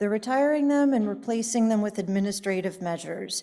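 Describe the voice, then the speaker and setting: A woman speaks with a fairly high pitch and a dark, mellow tone. The recording is very clean, with a silent background. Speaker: conference speaker on healthcare quality measures. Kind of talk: conference presentation. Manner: fast.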